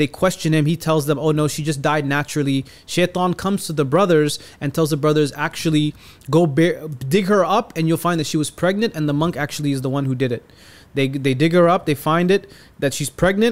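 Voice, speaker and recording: An ordinary speaking voice from a man, fairly high in pitch, at a fairly quick pace with ordinary pitch variation. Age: 30s. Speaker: poet and storyteller. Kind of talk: storytelling; casual chat. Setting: studio.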